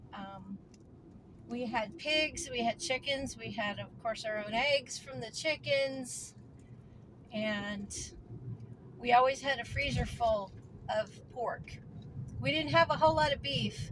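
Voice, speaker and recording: Through noticeable background noise, a woman speaks at a very slow pace and fairly high pitch, with lively intonation, big swings in loudness, and long, frequent pauses. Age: 60s. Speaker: homesteading vlogger. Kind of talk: casual vlog monologue. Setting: in a car.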